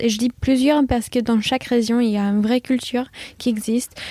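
This woman has a high pitch and a dark, mellow tone. Her intonation is monotone and flat, and the sound is dry and close with no echo. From USA, California and Virginia, partly Hong Kong. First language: English (speaking French). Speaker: chef. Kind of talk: interview.

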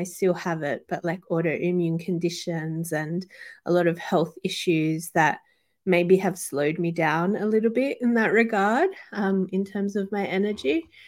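A woman speaks fairly slowly in an Australian accent, with ordinary pitch variation. The recording is very clean, with a silent background. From Western Sydney, Australia. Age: 30s. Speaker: podcast co-host and yoga teacher. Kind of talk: casual interview chat. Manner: hesitant, many fillers.

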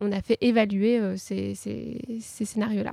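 A woman is speaking. Her pitch is medium. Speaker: neuroscience researcher. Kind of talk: live panel discussion. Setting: stage with live audience. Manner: halting, many repetitions.

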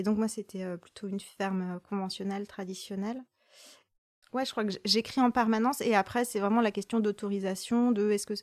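Recorded very cleanly with a silent background and a dry, close sound with no echo, a woman speaks at medium pitch and a fairly quick pace. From rural France. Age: 30s. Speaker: poet. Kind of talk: casual chat. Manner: halting.

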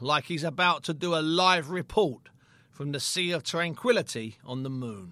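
A bright, sharp tone at a moderate pace. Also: man. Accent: British. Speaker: boxing historian and podcast narrator. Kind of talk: sports documentary narration. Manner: measured, storytelling, vivid scene-setting.

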